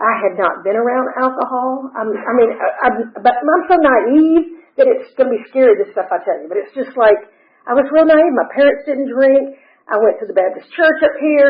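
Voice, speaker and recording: A woman with an Atlanta accent speaks at a high pitch with lively intonation. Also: moderate pace. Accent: Southern US (Atlanta). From US South. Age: 60s. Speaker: recovery speaker. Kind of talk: testimony.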